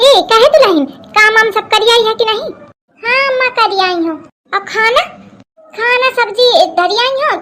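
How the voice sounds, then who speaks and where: A woman does a cartoonish character voice at an extremely high pitch, speaking at a moderate pace with long, frequent pauses. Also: ordinary pitch variation. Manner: grumbling.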